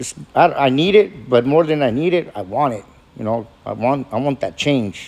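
Delivered at a moderate pace, the unremarkable speaking voice carries lively intonation. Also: man, fairly high pitch for a man. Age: 50s. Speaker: recovering alcoholic. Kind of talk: testimony. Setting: meeting room with audience.

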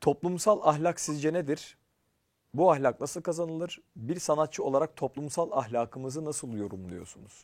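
The recording is very clean with a silent background, and a man with a plain, everyday voice speaks at a moderate pace. His pitch is fairly high and his intonation lively. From Turkey, Ankara. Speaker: program host and actor. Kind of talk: casual interview chat.

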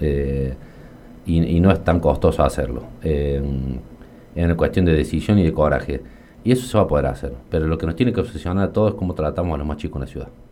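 A man's very deep, low voice with ordinary pitch variation and a very fast pace, over noticeable background noise. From Argentina, Río Cuarto (Córdoba). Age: 40s. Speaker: accountant and local politician. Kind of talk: radio interview. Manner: hesitant, frequent fillers and repetitions.

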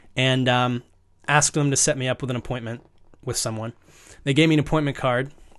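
A man with an American accent talks at a very fast pace in a flat, monotone delivery, broken by long, frequent pauses. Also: medium pitch for a man. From US, rural Northern Virginia. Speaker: actor and producer. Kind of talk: casual chat.

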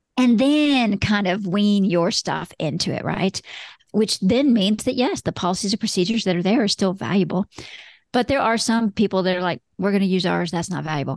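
Against a quiet background, a woman with an ordinary speaking voice talks at a medium pitch and a fairly quick pace. Her intonation is lively, and the sound is dry and close with no echo. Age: 50s. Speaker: lawyer turned law firm business coach and broker. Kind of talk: interview.

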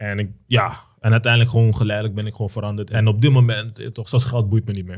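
Speaking very fast with hardly any pauses, a man has a fairly low, somewhat breathy voice, monotone, flat intonation and big swings in loudness. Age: 20s. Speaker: perfume entrepreneur. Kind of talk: casual chat. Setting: studio.

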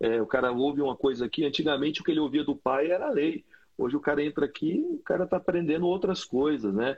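A man talks very fast in a fairly high pitch with ordinary variation. His loudness stays very even. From Brazil, Brasília. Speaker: pastor and podcast host. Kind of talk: casual chat. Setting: video call.

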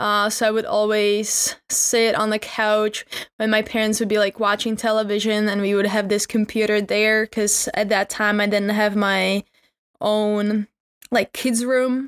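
In a Czech accent, the speaker goes at a fairly slow pace with monotone, flat intonation and very even loudness, recorded with a dry, close sound and no echo. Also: woman, fairly high pitch for a woman. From Czech Republic. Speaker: podcast host. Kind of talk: casual monologue.

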